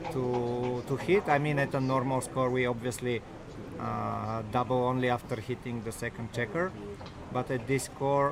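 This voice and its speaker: Over noticeable background noise, a man with a non-native accent talks at a moderate pace and medium pitch with fairly even intonation. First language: not English. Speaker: backgammon commentator. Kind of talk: live commentary. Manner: halting.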